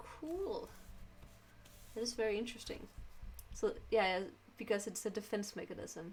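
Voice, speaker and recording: A woman with a Danish accent moves at a moderate pace, leaving long, frequent pauses. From Denmark. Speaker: streamer. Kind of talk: casual chat. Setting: live stream. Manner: halting.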